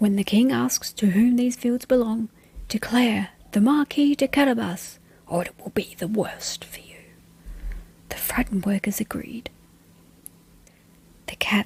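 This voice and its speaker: A soft-spoken woman talks at a fairly high pitch with big swings in loudness and long, frequent pauses. The sound is dry and close, with no echo. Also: ordinary pitch variation, fairly slow pace. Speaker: bedtime story reader. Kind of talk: read fairy tale.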